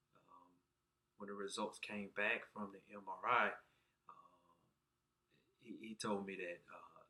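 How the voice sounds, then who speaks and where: Fairly slow speech in a Southern US accent. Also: man. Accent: southern twang. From Alabama, US South. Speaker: patient sharing surgery experience. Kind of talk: personal vlog testimony. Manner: halting, many fillers.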